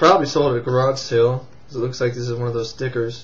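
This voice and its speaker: A man talks at a fairly quick pace with monotone, flat intonation. Noticeable background noise can be heard. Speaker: VHS collector and movie reviewer. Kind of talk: casual talk to camera.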